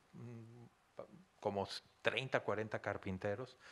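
A man with a Mexican accent speaks at a fairly slow pace, his fairly low voice bright and sharp in tone. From Mexico. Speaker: consultant; guest lecturer. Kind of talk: lecture. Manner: animated. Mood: warm, joking. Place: hall.

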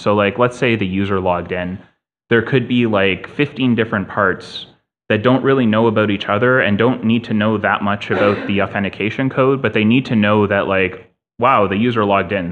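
At a fairly quick pace, a man talks with a fairly low pitch and ordinary pitch variation. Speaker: conference presenter. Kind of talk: technical talk. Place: hall.

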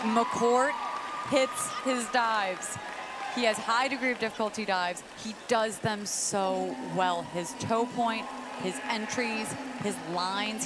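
Noticeable background noise sits behind a woman's fairly high voice. She talks at a fairly slow pace with ordinary pitch variation. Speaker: sports commentator and interviewer. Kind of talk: live sports commentary. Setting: swimming and diving arena broadcast.

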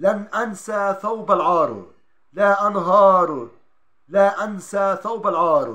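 Over a quiet background, a man speaks in a raised, projected voice at a very slow pace. His pitch is high and his tone bright and sharp. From Palestine. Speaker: journalist. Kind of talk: poetry reading. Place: home room. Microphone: phone near.

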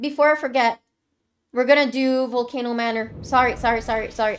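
Over light background noise, a woman with a high pitch speaks at a moderate pace. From Quebec. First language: French. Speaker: streamer. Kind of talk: live gameplay commentary. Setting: live stream.

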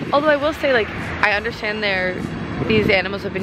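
There is loud background noise behind a woman's voice. The sound is dry, with no echo. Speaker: travel vlogger. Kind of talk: casual vlog chat. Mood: reflective, slightly conflicted. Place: open country. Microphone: phone near.

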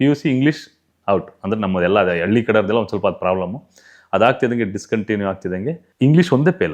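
With lively intonation, a man talks in a plain, everyday voice at a medium pitch. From Karnataka, Tumakuru district village. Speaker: makeup artist. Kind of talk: life story interview.

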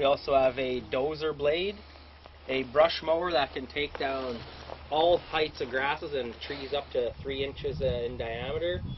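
Over light background noise, a man talks at a fairly slow pace with fairly even intonation. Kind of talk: interview answer. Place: open country.

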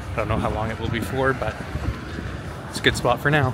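This man's delivery keeps a fairly even intonation. The sound is dry with no echo, though noticeable background noise runs underneath. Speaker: pilot vlogger. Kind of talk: casual vlog chat. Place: street. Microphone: phone near.

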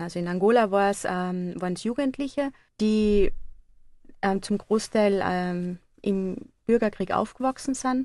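Against a quiet background, a woman talks at a fairly slow pace. She has an ordinary speaking voice and a medium pitch. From Austria, Carinthia (upper Drau valley). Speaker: photography project leader at a nonprofit. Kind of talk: radio interview. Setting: studio.

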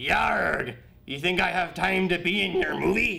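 A man puts on a raspy, high-pitched character voice. He speaks at a fairly slow pace with audible echo. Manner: gruff, swashbuckling.

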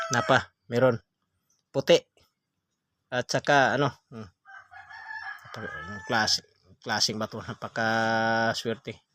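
A man with a medium pitch talks in an animated tone at a fairly slow pace, with long, frequent pauses. His loudness swings widely, and the sound is dry and close with no echo. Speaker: stone collector vlogger. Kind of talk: sales pitch showing stones to camera. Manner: animated, repetitive hype, praising each stone as sulit and napakaganda; addresses viewers as guys, punctuated by hmm sounds and laughs.

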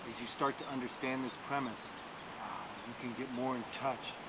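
Loud background noise runs behind a man's voice. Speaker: meditation teacher. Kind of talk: guided breathing meditation. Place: garden.

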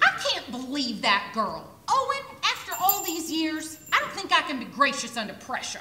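A woman puts on a gruff character voice, high-pitched with very wide pitch swings. She keeps a moderate pace with hardly any pauses, and there is a slight echo. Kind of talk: community theater stage acting. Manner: gruff, sarcastic, cantankerous.

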